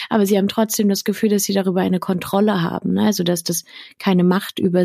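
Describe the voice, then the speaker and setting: Close and dry with no echo, a woman's voice has a dark, mellow tone. She talks at a fairly quick pace with fairly even intonation. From Berlin, Germany. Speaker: sex educator. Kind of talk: interview answering listener questions. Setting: video call.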